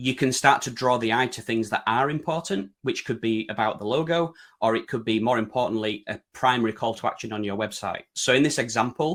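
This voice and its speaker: Speaking with a British accent, a man talks at a fairly quick pace with hardly any pauses, at a medium pitch with ordinary pitch variation. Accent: broad UK. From Yorkshire, northern England. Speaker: website design consultant presenting. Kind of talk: webinar presentation. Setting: online webinar.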